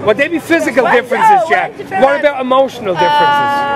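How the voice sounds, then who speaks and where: A man talks at a very fast pace with an extremely high pitch and lively intonation. There is noticeable background noise. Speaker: street interview presenter. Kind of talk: casual street interview questions, teasing banter. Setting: outdoors, nightlife street.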